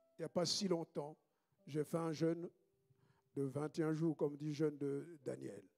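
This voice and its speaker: Pitched fairly high, a man talks at a fairly slow pace with fairly even intonation and long, frequent pauses, in a dry, close sound with no echo. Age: 60s. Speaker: pastor. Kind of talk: sermon.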